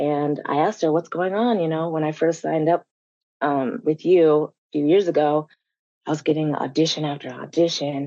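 The delivery is fairly quick, with an American accent. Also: woman. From Colorado, US. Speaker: actor. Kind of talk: panel discussion.

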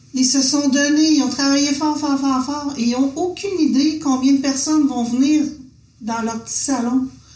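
Over noticeable background noise and audible room echo, a woman with a high pitch speaks at a moderate pace with fairly even intonation. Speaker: visual artist, printmaker, former art teacher. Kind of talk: casual conversation.

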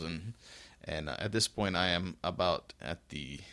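On a very clean recording with a silent background, a man with a very deep, low pitch and a bright, sharp tone speaks with vocal fry. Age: 40s. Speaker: fitness podcast host. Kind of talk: casual solo podcast monologue.

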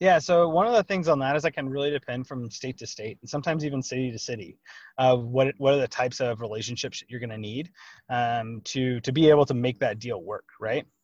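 A man with a Texan accent at medium pitch, very fast, with ordinary pitch variation and big swings in loudness, in a dry, close sound with no echo over a quiet background. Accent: Texan, says y'all. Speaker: real estate lawyer and investor. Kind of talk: podcast interview.

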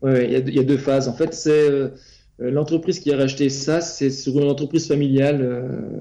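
Speaking at a fairly quick pace, a man has a dark, mellow tone and fairly high pitch. His intonation is monotone and flat. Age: 40s. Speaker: property investor, depot manager. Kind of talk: interview. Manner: hesitant, many fillers and repetitions.

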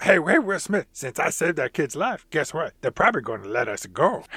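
A man's put-on character voice, fairly high-pitched and fairly quick, with very wide pitch swings. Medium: game stream.

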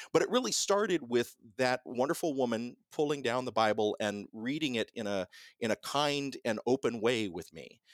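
An unremarkable speaking voice with an American accent, lively intonation and a moderate pace, in a dry, close sound with no echo on a very clean recording with a silent background. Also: man, medium pitch for a man. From US South, Columbus, Georgia. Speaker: radio host and professor. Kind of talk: casual interview conversation. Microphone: sounds professional.

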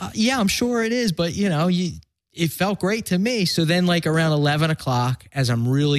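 Moderate pace and lively intonation from a man with a Philadelphia accent, in a very clean recording with a silent background. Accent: Philadelphia American. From Philadelphia, US. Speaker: recovering addict sharing his story. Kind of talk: casual interview chat. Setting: podcast.

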